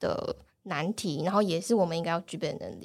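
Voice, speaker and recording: In a plain, everyday voice, a woman speaks at a fairly quick pace with ordinary pitch variation. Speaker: data analyst. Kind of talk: casual interview chat.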